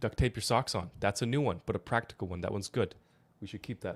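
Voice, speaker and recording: At a very fast pace, a man with a fairly low pitch speaks in an animated tone with ordinary pitch variation, recorded very cleanly against a silent background with a dry, close sound and no echo. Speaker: health podcast co-host. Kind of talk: casual podcast chat.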